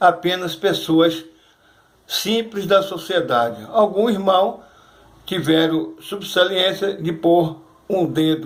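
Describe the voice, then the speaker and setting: Very slowly, a man speaks in a voice that is high for a man. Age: 60s. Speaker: churchgoer giving testimony. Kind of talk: testimony. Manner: halting.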